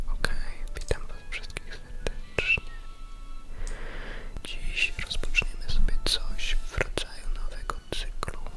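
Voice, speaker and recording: Music plays in the background as a man whispers. He is soft-spoken and talks at a very slow pace. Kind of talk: ASMR talk about video games. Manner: soft-spoken, whispered.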